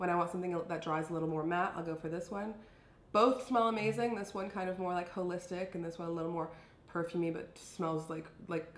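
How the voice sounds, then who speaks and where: With audible room echo and noticeable background noise, a woman talks very fast at a fairly low pitch and with fairly even intonation. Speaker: beauty and fashion vlogger. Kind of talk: casual product review.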